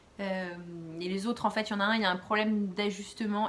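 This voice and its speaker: A somewhat breathy woman at a moderate pace, her intonation fairly even. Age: 30s. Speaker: knitting podcaster. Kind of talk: casual chat. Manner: hesitant, many fillers.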